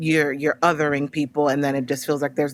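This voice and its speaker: A woman in an American accent speaks with a very deep, low pitch and monotone, flat intonation. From United States. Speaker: playwright and actress. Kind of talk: interview. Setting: podcast interview. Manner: casual, many fillers.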